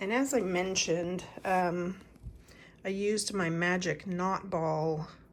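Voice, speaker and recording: Her medium-pitched voice moves through ordinary pitch variation as the woman speaks at a very slow pace. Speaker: knitting vlogger. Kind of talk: casual vlog chat. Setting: outdoors on a rainy morning. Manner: casual, with many fillers.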